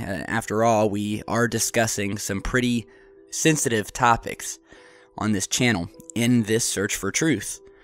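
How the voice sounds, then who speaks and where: A man of medium pitch at a fairly slow pace, fairly even in intonation, with music in the background. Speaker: UFO video host. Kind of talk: casual vlog commentary.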